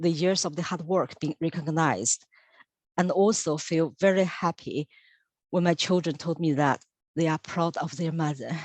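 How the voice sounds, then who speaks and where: A woman with a Chinese accent at a fairly low pitch and moderate pace, in a dry, close sound with no echo and a quiet background. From China. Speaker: senior lab technician. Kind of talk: interview.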